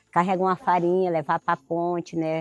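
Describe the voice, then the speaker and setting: A woman talks at a moderate pace with a fairly low pitch and a plain, everyday voice. The sound is dry and close, with no echo. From Brazil, Acre (Amazon extractive reserve). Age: 60s. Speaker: extractive reserve resident, farmer. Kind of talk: oral history testimony.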